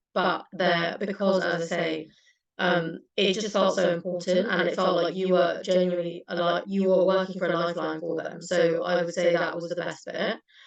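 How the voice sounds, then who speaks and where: Speaking at a moderate pace in a British accent, a woman keeps a fairly low pitch and a monotone, flat intonation. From UK. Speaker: former intern at a legal charity. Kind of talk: panel Q&A answers.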